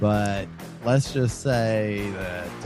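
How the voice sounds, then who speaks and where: Music plays underneath the speech. The man talking has an American accent. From Texas. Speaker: musician, podcast host. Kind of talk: casual podcast conversation.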